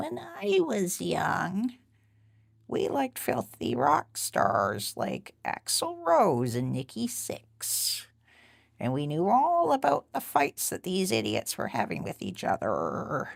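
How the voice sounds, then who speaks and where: A put-on character voice at a middle pitch unfolds at a fairly slow pace. The recording is very clean, with a silent background. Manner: comic, reminiscing, disapproving.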